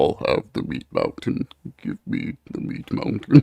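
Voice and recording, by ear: A man does a put-on character voice at a fairly slow pace, with big swings in loudness.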